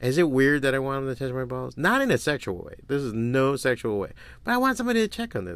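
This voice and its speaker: A man talks at a very fast pace on a very clean recording with a silent background. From Miami, Florida. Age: 40s. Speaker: podcast host and comic artist. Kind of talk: casual solo monologue.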